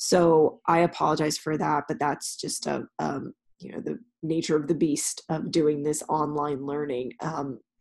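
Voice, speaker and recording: With an American accent, a woman talks at a moderate pace in a very deep, low pitch with vocal fry and ordinary pitch variation. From California. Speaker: university professor. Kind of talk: recorded class announcement. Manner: frequent fillers (um).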